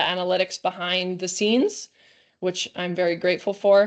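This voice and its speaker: A woman with a Canadian accent. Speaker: volleyball coach. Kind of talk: webinar lecture. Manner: fast.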